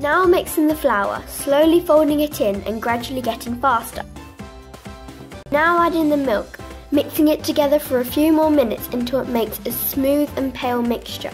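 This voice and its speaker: Music plays behind a woman speaking at a moderate pace. Her pitch is high, with ordinary variation. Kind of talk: recipe tutorial narration.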